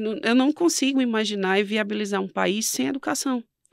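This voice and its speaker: With a fairly high pitch and moderate pace, a woman speaks in a very clean, dry, close recording with no echo and a silent background. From Northeast Brazil. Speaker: entrepreneur and quiz show winner. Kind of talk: interview.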